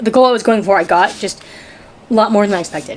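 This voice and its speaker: A woman at a medium pitch is heard through clearly noticeable background noise. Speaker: crafter / DIY channel host. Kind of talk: casual craft tutorial talk to camera.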